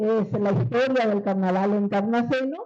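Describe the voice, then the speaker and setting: A woman speaks in a dark, mellow tone. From Paraguay, Encarnación. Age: 60s. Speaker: writer and veteran broadcaster. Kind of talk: book presentation talk.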